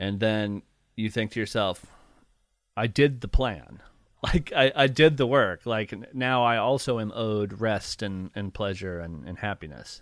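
Speaking at a fairly slow pace with an American accent, a man with a plain, everyday voice and a fairly low pitch shows ordinary pitch variation and big swings in loudness, captured in a very clean recording with a silent background. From rural Ohio, near Appalachia. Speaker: nature writer and podcaster. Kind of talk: interview.

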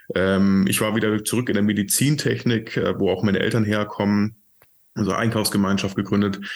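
With very even loudness and a monotone, flat intonation, a man speaks at a moderate pace on a very clean recording with a silent background. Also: fairly low pitch for a man. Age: 30s. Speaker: entrepreneur, CEO of a sustainable building company. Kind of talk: interview conversation.

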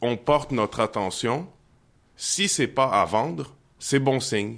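A man is speaking. His pace is very slow. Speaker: singer-songwriter and poet. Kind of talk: poetry reading. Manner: halting.

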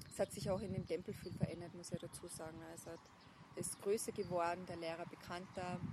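The speech is very fast, in a monotone with flat intonation. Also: woman, fairly low pitch for a woman. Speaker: buddhist nun. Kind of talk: interview conversation. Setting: outdoors. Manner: halting. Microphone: poor sound quality.

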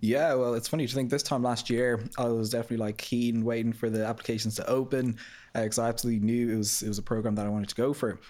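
Very fast speech from a man at medium pitch, dark, mellow in tone, monotone and flat, on a very clean recording with a silent background. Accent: Irish. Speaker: marketing graduate trainee. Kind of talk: podcast interview. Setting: studio.

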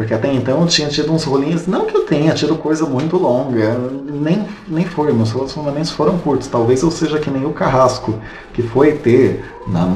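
Noticeable background noise and audible room echo surround a man talking at a moderate speed. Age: 30s. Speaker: podcast co-host. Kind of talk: casual chat.

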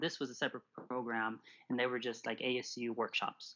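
Here a man is speaking. His pitch is medium. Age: 30s. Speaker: poet and creative writing student. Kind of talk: casual interview. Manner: halting.

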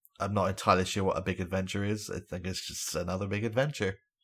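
Very fast, somewhat breathy speech from a man with a fairly low pitch, in a very clean recording with a silent background. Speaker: podcast host. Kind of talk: casual chat.

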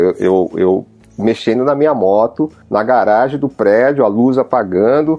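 There is a man here with a normal speaking voice, talking at a fairly slow pace with lively intonation. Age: 50s. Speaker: self-service garage owner. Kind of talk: casual chat.

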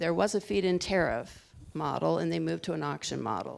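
On a very clean recording with a silent background, a woman speaks. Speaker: energy researcher. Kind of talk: panel presentation. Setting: stage with audience.

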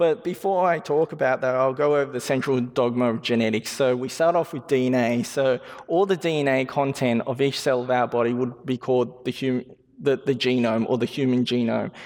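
A man with a medium-pitched voice keeps a moderate pace and ordinary pitch variation. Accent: Australian. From Western Sydney, Australia. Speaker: genetics researcher. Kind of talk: public lecture. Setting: stage with audience.

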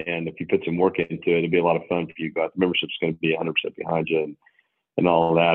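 This man has a very deep, low pitch and speaks with an American accent. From Oklahoma, Bartlesville. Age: 50s. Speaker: golf club professional. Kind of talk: interview.

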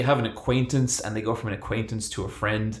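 Speaking at a fairly quick pace, a man with an Irish accent has a somewhat breathy voice at medium pitch. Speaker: podcast co-host. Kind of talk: casual chat.

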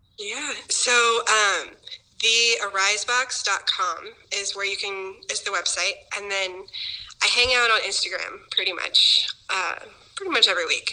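A woman with an American accent speaks at a fairly slow pace. Noticeable background noise runs behind her. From Kansas City, US Midwest. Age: 30s. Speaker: nonprofit founder. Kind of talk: interview.

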